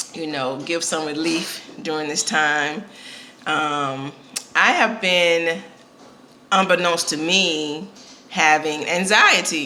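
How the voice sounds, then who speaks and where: A woman with a very deep, low voice speaks very slowly, with long, frequent pauses and ordinary pitch variation. Room echo is audible, and background noise is noticeable. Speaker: vlogger and podcast host. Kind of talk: casual vlog. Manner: hesitant, many fillers.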